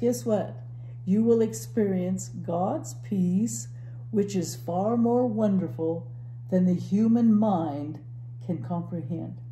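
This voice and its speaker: A woman talking at a very slow pace with long, frequent pauses, plus audible room echo and light background noise. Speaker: church Bible teacher. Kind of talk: Bible teaching conversation. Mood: warm, earnest, encouraging. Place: home room.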